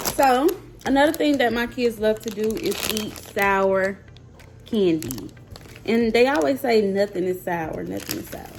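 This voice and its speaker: Speaking with a Mississippi accent over noticeable background noise, a woman with a fairly high pitch talks at a fairly slow pace in an animated tone, her pitch swinging very widely between long, frequent pauses. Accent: Southern US (Mississippi). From US South, Mississippi. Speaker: YouTuber, mom. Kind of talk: casual vlog, taste test.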